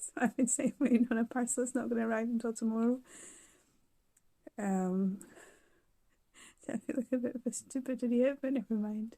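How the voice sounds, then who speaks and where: A woman with a British accent speaks at a fairly quick pace in a dark, mellow tone and a fairly high pitch, her intonation fairly even, with long, frequent pauses and a dry, close sound with no echo. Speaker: vlogger recovering from surgery. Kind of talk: casual video diary.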